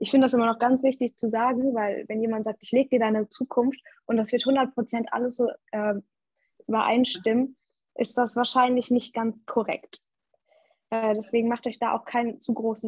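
A woman talks at a moderate pace in a fairly high, somewhat breathy voice. Her intonation stays flat and monotone. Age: young. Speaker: student and social media manager. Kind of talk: casual chat.

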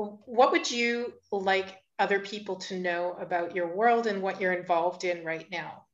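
A woman speaks at a medium pitch with fairly even intonation. She has a normal speaking voice and a fairly slow pace. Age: 50s. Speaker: podcast host. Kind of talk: casual interview conversation.

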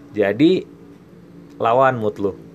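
A man speaks in an animated tone. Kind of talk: pep talk, solo podcast monologue. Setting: solo podcast. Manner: animated, emphatic, urging listeners with repeated "oke, okay?".

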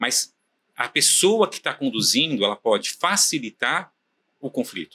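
A man's bright, sharp voice with vocal fry and very wide pitch swings, at a fairly slow pace, in a dry, close sound with no echo. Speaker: property management company founder. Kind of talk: casual interview chat. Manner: halting, many fillers.

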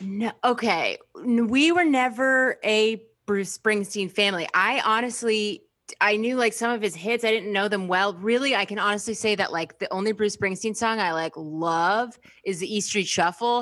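A woman speaks at a moderate pace in a normal speaking voice, her pitch fairly high with ordinary variation. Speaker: comedian and musician. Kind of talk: casual chat.

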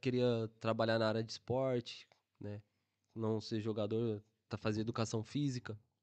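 A man is recorded with a dry, close sound with no echo against a quiet background. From Brazil, São Bernardo do Campo (São Paulo). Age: 20s. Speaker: football player. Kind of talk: casual chat.

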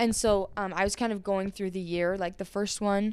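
A woman with a medium pitch and a Utah accent. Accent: American (Utah). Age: young. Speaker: poet and musician. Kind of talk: casual chat. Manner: many fillers and restarts.

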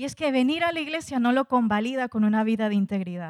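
At a moderate pace, a woman talks in a high voice. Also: dry, close sound with no echo. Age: 30s. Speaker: preacher. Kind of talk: sermon.

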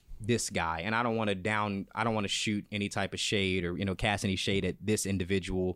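Energetic and bright, a man speaks in a sharp tone at a fairly low pitch and a fairly quick pace. The recording is very clean, with a silent background. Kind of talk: casual chat.

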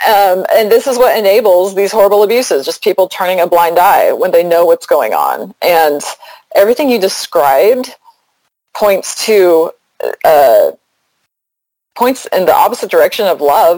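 A woman talks at a moderate pace, leaving long, frequent pauses. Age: 40s. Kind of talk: casual interview.

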